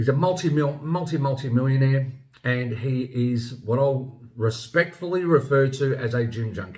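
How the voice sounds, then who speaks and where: A somewhat breathy man speaks at a medium pitch with ordinary pitch variation. His moderate pace comes with audible room echo. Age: 50s. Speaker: health vlogger. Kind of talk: opinion monologue. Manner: casual, some repetition and hesitation.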